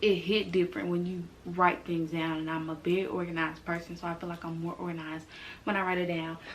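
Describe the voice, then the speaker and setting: Audible room echo surrounds a woman speaking at a fairly low pitch and a fairly quick pace. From US South, Mississippi and Tennessee. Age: 20s. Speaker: YouTuber. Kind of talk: casual vlog introduction. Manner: animated.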